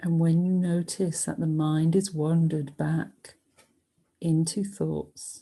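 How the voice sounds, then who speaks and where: A soft-spoken woman's fairly low, somewhat breathy voice in a dark, mellow, soothing tone, very slow in pace and monotone with flat intonation. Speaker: yoga and meditation teacher. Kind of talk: guided meditation. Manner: soft, soothing, slow.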